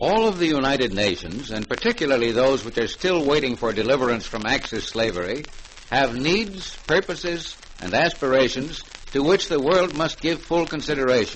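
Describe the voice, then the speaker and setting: A man with a fairly high pitch speaks at a moderate pace with very wide pitch swings over noticeable background noise. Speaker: radio program host / announcer. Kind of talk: vintage radio broadcast announcer.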